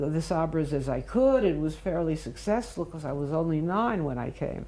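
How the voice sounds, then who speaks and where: Here a woman speaks with a New York accent. Her pitch is very deep and low, and her intonation is lively. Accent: American English, New York. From US Northeast, Brooklyn New York, childhood years in Mandatory Palestine. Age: 90s. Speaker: interviewee recounting life history. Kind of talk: oral history interview. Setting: at home, filmed interview. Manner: halting, frequent fillers.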